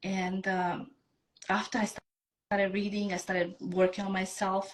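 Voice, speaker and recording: A woman speaks at a medium pitch and a moderate pace. Her intonation is flat and monotone. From Bosnia. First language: Bosnian. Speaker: self-love coach. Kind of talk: interview, personal story.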